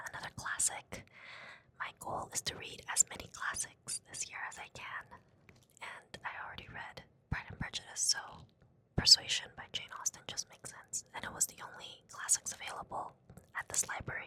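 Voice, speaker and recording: A woman whispering at a moderate pace, with big swings in loudness. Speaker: book vlogger. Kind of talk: casual vlog. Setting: library.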